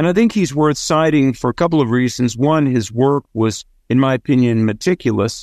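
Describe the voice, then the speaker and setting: Moderate pace from a man at a medium pitch, ordinary pitch variation, quiet background. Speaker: author and radio host. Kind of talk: interview discussion.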